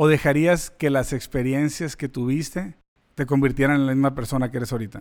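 Here a man has a normal speaking voice, with a fairly high pitch, fairly even intonation and a fairly quick pace. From Mexican-American. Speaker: podcast host. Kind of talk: podcast interview. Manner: casual, code-switching.

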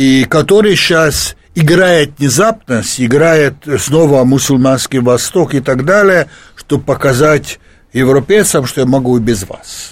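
Speech unfolds fairly slowly. Its pitch varies in an ordinary way. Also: man. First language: Hungarian (speaking Russian). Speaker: sociologist and economist. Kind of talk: radio interview. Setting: studio. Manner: halting.

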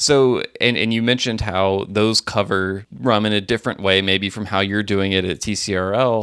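Using an ordinary speaking voice, a man talks at a moderate pace with hardly any pauses, fairly even intonation and a fairly low pitch, in a very clean recording with a silent background. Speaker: podcast co-host. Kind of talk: casual chat.

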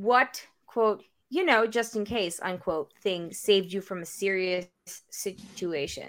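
In a very clean recording with a silent background, a woman talks at a fairly slow pace. Hers is an unremarkable speaking voice of medium pitch with ordinary pitch variation. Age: 30s. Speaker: podcast co-host. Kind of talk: casual chat.

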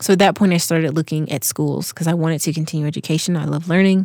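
A woman has an unremarkable speaking voice with an American accent, fairly low pitch, and fairly even intonation. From US South, Georgia. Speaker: returned missionary. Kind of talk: interview.

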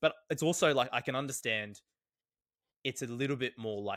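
With an Australian accent and ordinary pitch variation, a man speaks on a very clean recording with a silent background. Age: 20s. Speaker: physiotherapist and sprint coach. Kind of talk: casual chat.

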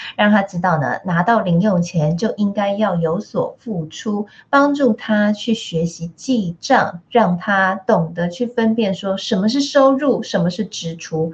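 The woman's voice is somewhat breathy. She talks at a fairly slow pace. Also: medium pitch for a woman, ordinary pitch variation, hardly any pauses. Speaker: radio host. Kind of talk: radio interview. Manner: animated.

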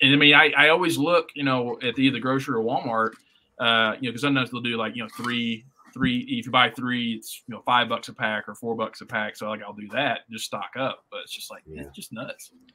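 A man with a Southern US accent talks at a very fast pace and a medium pitch. His pitch variation is ordinary, but his loudness swings widely. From US South, northwest Tennessee. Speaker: podcast co-host. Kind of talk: casual chat.

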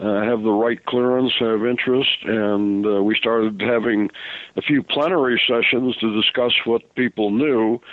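With an unremarkable speaking voice, a man talks at medium pitch and a moderate pace, with fairly even intonation and very even loudness. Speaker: author and UFO researcher. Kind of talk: radio interview.

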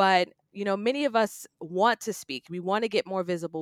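A woman with an unremarkable speaking voice talks at a moderate pace and medium pitch with lively intonation, the sound dry and close with no echo on a very clean recording with a silent background. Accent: American. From New York City, Queens. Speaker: public speaking coach and business strategist. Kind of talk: podcast interview.

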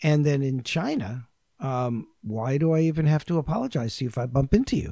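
Somewhat breathy and dark, mellow in tone, a man with an American accent speaks at a fairly quick pace with lively intonation. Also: fairly high pitch for a man. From New York. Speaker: intercultural consultant. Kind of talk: casual chat.

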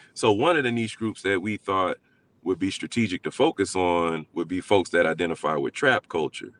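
In a normal speaking voice, a man with a fairly low pitch talks at a moderate pace with lively intonation, the sound dry and close with no echo. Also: quiet background. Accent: American. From Alabama, US South. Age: 40s. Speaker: community organizer. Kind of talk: interview.

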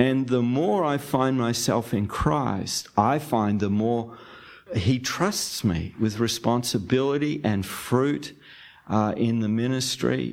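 A man with an Australian accent speaks very slowly at a medium pitch, his pitch varying in an ordinary way. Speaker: podcast host and church-planting ministry leader. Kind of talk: interview conversation.

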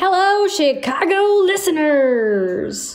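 Woman in a put-on character voice, high-pitched with very wide pitch swings, at a very slow pace, with audible echo. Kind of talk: radio announcer.

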